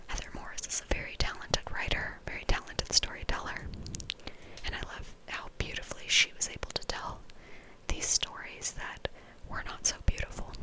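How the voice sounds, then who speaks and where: Whispering in a relaxed tone over noticeable background noise. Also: woman, moderate pace. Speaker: ASMR creator. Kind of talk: ASMR book review ramble to camera. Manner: whispered, relaxed.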